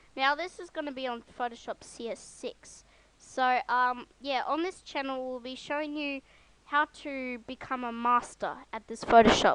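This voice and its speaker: A squeaky, high-pitched female voice with ordinary pitch variation and big swings in loudness. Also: moderate pace. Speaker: software tutorial youtuber. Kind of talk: tutorial. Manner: hesitant, many ums. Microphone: broken mic without windscreen.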